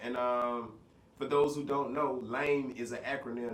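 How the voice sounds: Through audible room echo, a man speaks at a medium pitch with fairly even intonation.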